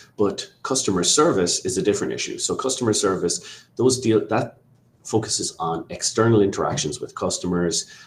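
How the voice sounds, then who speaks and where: A man speaks at a moderate pace with an Irish accent. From Ireland. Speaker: immigration lawyer. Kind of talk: webinar presentation. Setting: online webinar.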